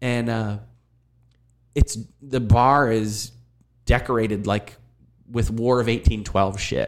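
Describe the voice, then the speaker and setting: A man with an American accent, at a very slow pace. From Erie, Pennsylvania. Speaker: university teacher and former punk drummer. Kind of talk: casual chat.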